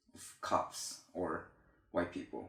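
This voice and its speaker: The speaker is a man. He talks with a Korean accent. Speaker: YouTuber. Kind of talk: reading aloud. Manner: halting.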